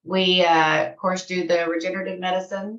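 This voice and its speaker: A woman's medium-pitched voice in a Texan accent, bright and sharp in tone. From Texas. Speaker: patient care manager. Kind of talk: self-introduction on video call.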